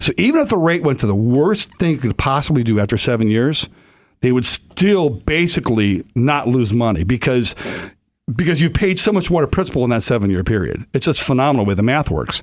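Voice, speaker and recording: A man at a medium pitch makes very wide pitch swings while keeping very even loudness, in a very clean recording with a silent background. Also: fairly quick pace. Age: 50s. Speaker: radio host. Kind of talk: radio talk show.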